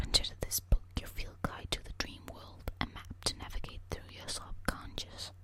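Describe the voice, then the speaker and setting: Someone whispers at a fairly slow pace. Noticeable background noise runs underneath. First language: not English. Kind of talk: ASMR whispered book reading. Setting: eating hard candy while reading. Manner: whispered, relaxing.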